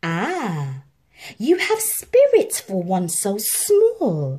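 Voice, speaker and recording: A put-on character voice that sounds female, fairly high-pitched, speaks at a very slow pace. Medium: read story. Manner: smug, menacing.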